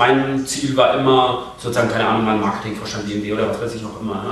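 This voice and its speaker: A man talks very fast in a monotone, flat delivery. Noticeable background noise and audible room echo surround him. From southern Germany (Bavarian Swabia, Krumbach), born in Darmstadt. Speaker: online marketing entrepreneur. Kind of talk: casual interview. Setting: office rooftop terrace, video recording.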